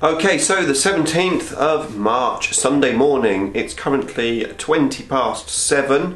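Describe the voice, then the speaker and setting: Speaking at a very slow pace with hardly any pauses, a man with a fairly high pitch is heard over audible room echo. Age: 40s. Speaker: YouTuber, miniature painter; YouTuber. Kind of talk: casual vlog.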